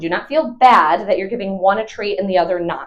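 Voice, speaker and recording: A woman speaks in an animated tone at a medium pitch. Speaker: dog trainer. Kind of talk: tutorial.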